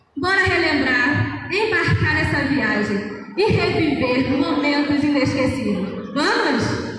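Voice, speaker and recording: There is noticeable background noise and strong room echo. A woman with a high pitch speaks at a very slow pace. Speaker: presenter. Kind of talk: stage announcement. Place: stage.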